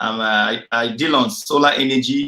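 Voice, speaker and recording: A man with a Nigerian accent speaks with lively intonation. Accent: Nigerian Igbo English. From Nigeria, Igbo area (Nsukka). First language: Igbo (Nsukka dialect). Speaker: engineer. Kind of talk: interview.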